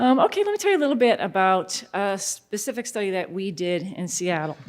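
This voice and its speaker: Her intonation is lively and her pace fairly quick. This woman has a medium pitch and an American accent. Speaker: researcher. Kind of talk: conference lecture. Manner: fast.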